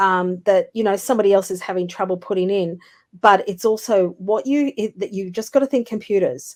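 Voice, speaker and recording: Heard in a very clean recording with a silent background, a woman talks at medium pitch with ordinary pitch variation. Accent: Australian. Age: 60s. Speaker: business development consultant. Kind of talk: interview.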